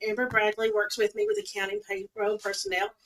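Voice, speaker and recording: A woman with a Southern US accent talks at a very fast pace and a fairly high pitch. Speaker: payroll and accounting staff, vendor presenter. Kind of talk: conference presentation. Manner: loud.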